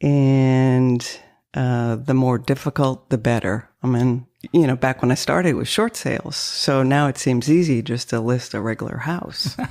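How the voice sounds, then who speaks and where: Her pitch is very deep and low for a woman. She speaks at a moderate pace with ordinary pitch variation. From northern Maine, French-Canadian family. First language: French. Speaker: realtor. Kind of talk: interview.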